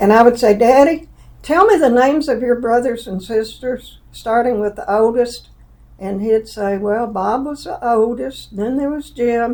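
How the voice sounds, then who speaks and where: A woman with a Southern accent, fairly high-pitched, with a dark, mellow tone, ordinary pitch variation and a fairly slow pace. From US South, Alabama, Jefferson County. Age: 80s+. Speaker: interviewee, mother of the host. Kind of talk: personal interview, life story.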